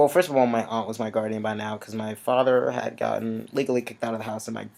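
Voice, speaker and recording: At a very fast pace, a man speaks at medium pitch with fairly even intonation. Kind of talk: casual chat. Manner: halting.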